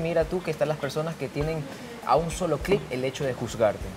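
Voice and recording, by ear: Clear background noise sits behind a man whose pitch is fairly high.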